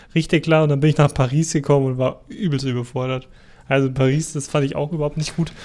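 A man talks very fast in a flat monotone at a fairly high pitch, with a slight Bavarian accent. The recording is very clean, with a silent background. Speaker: podcast co-host. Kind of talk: casual chat.

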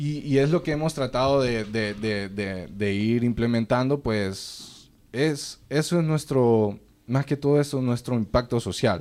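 A man talks at a medium pitch with ordinary pitch variation. His pace is fairly slow, and he has an unremarkable speaking voice. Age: 20s. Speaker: sheep farming entrepreneur. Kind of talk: casual interview.

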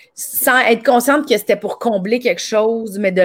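Taking a fairly slow pace, a woman talks with ordinary pitch variation. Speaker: podcast host and comedian. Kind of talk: casual interview.

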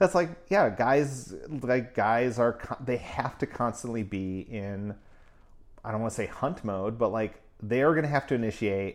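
Medium pitch and a moderate pace from a man, with pitch varying in an ordinary way. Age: 40s. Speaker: performer and class teacher. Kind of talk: casual chat. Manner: animated.

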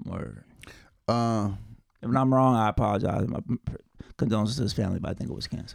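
A medium-pitched male voice talks at a very fast pace, broken by long, frequent pauses. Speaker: podcast co-host. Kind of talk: casual banter between friends.

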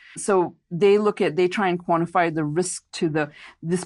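With an American accent, a woman speaks in a normal speaking voice, fairly low in pitch with ordinary pitch variation. The background is quiet. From India / US. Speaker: investment advisor and author. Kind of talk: interview. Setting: podcast interview.

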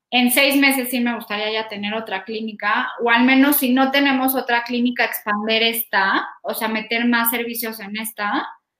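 With hardly any pauses, a woman talks at a moderate pace in a fairly high pitch and a monotone, flat intonation. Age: 30s. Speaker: health startup founder. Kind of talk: interview.

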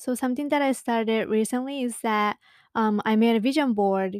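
Someone with a Japanese accent speaks at a moderate pace with fairly even intonation. The very clean recording has a silent background and a dry, close sound with no echo. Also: woman. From Japan (Saitama, north of Tokyo). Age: 20s. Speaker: podcast host. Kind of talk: casual solo podcast talk. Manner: casual, chatty.

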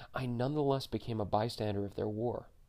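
Over a quiet background, a man rushes along at a very fast pace in a dark, mellow tone with a medium pitch and fairly even intonation. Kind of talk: audiobook memoir narration.

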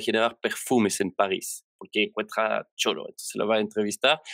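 On a very clean recording with a silent background, a man speaks with monotone, flat intonation. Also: dry, close sound with no echo. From Belgium. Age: 30s. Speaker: software developer. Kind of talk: interview. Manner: halting.

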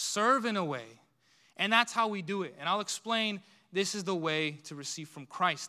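A man's raised, projected voice, high in pitch with a bright, sharp tone, at a moderate pace with lively intonation, in a very clean recording with a silent background. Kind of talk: sermon. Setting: church.

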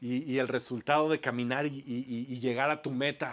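Medium-pitched man with a Mexican accent, fairly slow pace, ordinary pitch variation. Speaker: pastor. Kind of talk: sermon. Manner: halting; animated.

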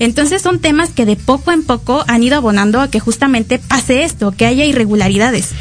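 Fairly quick and with hardly any pauses, the speech carries lively intonation at a very even loudness. Noticeable background noise is present. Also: woman, high pitch for a woman. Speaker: student podcast co-host. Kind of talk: casual political chat.

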